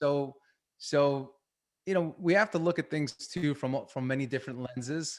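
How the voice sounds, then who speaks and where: A man speaks with a Long Island accent at a fairly high pitch. His pace is moderate, with ordinary pitch variation. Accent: Long Island New York. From Long Island, New York. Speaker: performance coach. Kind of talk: webinar talk.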